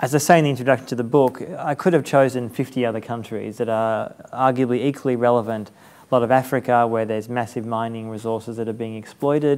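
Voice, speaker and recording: Speaking very fast with hardly any pauses, a man with an Australian accent keeps a medium pitch and fairly even intonation on a very clean recording with a silent background. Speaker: journalist and author. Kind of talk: interview conversation before audience.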